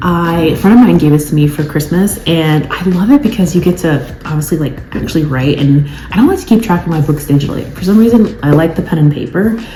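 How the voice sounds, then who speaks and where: A woman's fairly low voice with lively intonation, amid noticeable background noise and audible room echo. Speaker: lifestyle vlogger. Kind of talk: casual vlog talk to camera. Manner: fast; chatty, filler-heavy.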